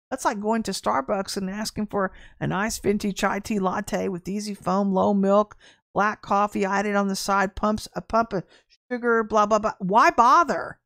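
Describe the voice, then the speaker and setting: A woman with an ordinary speaking voice at medium pitch talks at a moderate pace with ordinary pitch variation, recorded with a dry, close sound with no echo and a very clean, silent background. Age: 50s. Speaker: prophetic minister and online show host. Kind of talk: prophetic teaching livestream. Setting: livestream.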